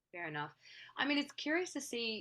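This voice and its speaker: A woman with an Australian accent speaks at a moderate pace, her tone bright and sharp and her intonation lively, in a very clean recording with a silent background. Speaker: actress and singer-songwriter. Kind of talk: casual chat.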